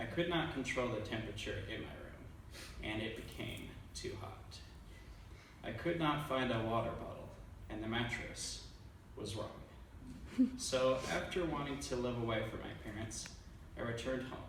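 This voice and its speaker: Amid noticeable background noise and audible room echo, a man with a medium pitch speaks at a moderate pace, leaving long, frequent pauses. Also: ordinary pitch variation. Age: 20s. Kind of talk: prepared speech.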